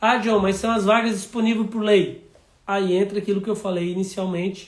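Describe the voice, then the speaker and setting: A man's high-pitched voice with monotone, flat intonation. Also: moderate pace. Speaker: city councillor. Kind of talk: live stream talk.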